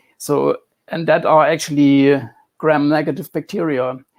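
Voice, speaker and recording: The recording is very clean, with a silent background. A man with a fairly high pitch speaks fairly slowly with a strong German accent. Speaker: computer scientist discussing health theory. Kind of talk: interview. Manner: halting, repeats words.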